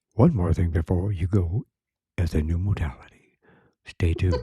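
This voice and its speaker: In a put-on character voice, a man speaks with a dramatic tone. His pitch is very deep and low, and his pace is moderate. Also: ordinary pitch variation, dry, close sound with no echo. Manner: dramatic, announcing.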